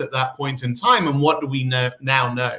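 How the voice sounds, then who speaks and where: This man talks at a fairly quick pace in a bright, sharp tone, his pitch fairly high. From England, Midlands. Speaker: tech company CEO. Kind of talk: interview.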